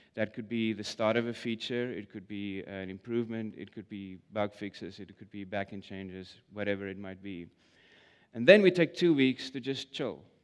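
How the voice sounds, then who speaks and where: A man with a South African accent, a moderate pace, ordinary pitch variation and big swings in loudness. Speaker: product manager. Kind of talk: conference talk. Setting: stage with audience. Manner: hesitant, filler-heavy.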